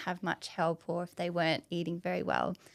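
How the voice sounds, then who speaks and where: A woman is speaking. She has an Australian accent. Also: very clean recording, silent background. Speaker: dietitian. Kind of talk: podcast interview.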